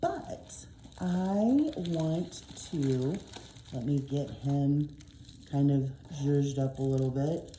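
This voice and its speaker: With an American accent, a woman speaks very slowly at a very deep, low pitch with ordinary pitch variation and long, frequent pauses, amid noticeable background noise and audible room echo. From Oklahoma. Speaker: diamond painting YouTuber and English teacher. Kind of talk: casual haul video. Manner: frequent filler ums.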